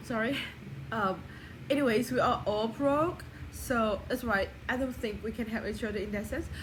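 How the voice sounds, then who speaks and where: A woman talks at a fairly high pitch and moderate pace with ordinary pitch variation. Audible room echo and noticeable background noise surround her. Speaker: vlogger. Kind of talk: personal video diary. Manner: casual, rambling with fillers.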